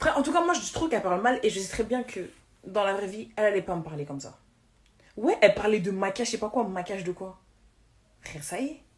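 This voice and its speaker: Her pace is very fast, yet long pauses come often. The woman's medium-pitched voice is somewhat breathy and lively in its intonation. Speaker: social media influencer. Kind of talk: livestream rant. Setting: live stream. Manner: halting, repeating words.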